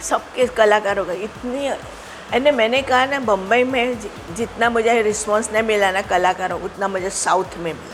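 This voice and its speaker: With music in the background, a woman at a fairly high pitch speaks with hardly any pauses, ordinary pitch variation and big swings in loudness. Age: 70s. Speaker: retired stage magician. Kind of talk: interview. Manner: halting.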